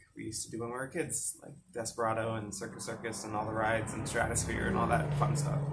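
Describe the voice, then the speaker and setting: Somewhat breathy and fairly quick, a man talks at a medium pitch with ordinary pitch variation. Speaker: mental health vlogger. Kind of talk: personal storytelling. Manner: casual, hesitant.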